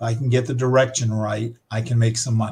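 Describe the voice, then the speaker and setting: A man speaks at a fairly quick pace in a somewhat breathy voice. His intonation is monotone and flat. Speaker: forex trading instructor. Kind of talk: live trading tutorial. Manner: halting with many fillers.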